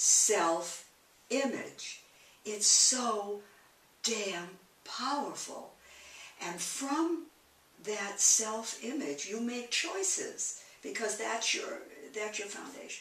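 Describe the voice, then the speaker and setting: Her voice is fairly high, with lively intonation, as a woman speaks at a very slow pace with long, frequent pauses. Room echo is audible. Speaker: interviewee. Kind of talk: interview answer. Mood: candid, rueful, emotional. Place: home room. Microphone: camera far.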